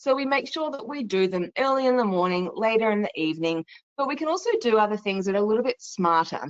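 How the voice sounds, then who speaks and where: A woman's fairly high voice, fairly quick in pace, with lively intonation. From Australia. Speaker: travel company sales presenter. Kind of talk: webinar presentation. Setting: online webinar.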